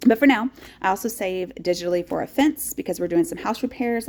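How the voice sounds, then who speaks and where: A woman with an East Texas accent speaks with very wide pitch swings. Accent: East Texas Southern American. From rural East Texas. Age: 40s. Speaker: teacher. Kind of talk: casual talk to camera. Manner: upbeat, chatty.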